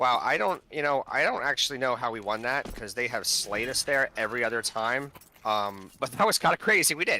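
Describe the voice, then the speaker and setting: With a bright, sharp tone, a man speaks at a fairly quick pace, medium pitch and ordinary pitch variation. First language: not English. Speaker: team owner co-casting esports match. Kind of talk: live commentary. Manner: animated.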